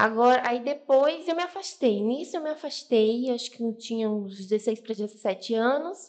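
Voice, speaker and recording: Her voice sits high in pitch, with lively intonation. The woman keeps a moderate pace and hardly any pauses. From Bahia, Brazil. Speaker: podcast guest. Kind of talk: testimony.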